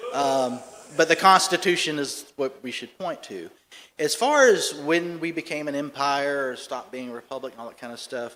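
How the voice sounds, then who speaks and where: This man speaks in a Southern US accent at a fairly high pitch. His pitch varies in an ordinary way while his loudness swings widely. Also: moderate pace. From US South, Charleston, South Carolina. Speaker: political commentator. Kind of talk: conference talk with Q&A.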